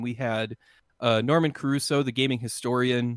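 A normal speaking voice from a man, medium in pitch, at a moderate pace. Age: 30s. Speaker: video creator. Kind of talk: casual chat.

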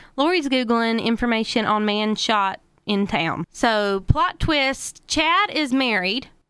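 In a very clean recording with a silent background, a woman speaks at a fairly slow pace in a fairly high pitch with a bright, sharp tone and ordinary pitch variation. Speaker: podcast host. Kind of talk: casual comedic true-crime storytelling. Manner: casual, joking, profane.

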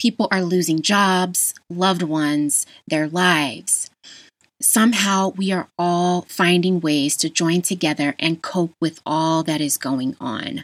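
A woman with an American accent uses an ordinary speaking voice, fairly low in pitch, with ordinary pitch variation at a fairly slow pace, in a very clean recording with a silent background. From Las Vegas, Nevada, US. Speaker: podcast host, health educator. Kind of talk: solo podcast monologue.

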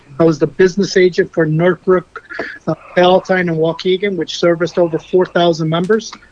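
Fairly quick, monotone, flat delivery over noticeable background noise. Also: man, high pitch for a man. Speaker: union officer candidate. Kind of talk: interview. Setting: phone call.

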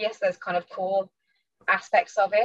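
A woman with a northern English accent speaks at medium pitch with ordinary pitch variation, in a dry, close sound with no echo. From northern England / Midlands, UK. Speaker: fantasy author. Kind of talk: interview.

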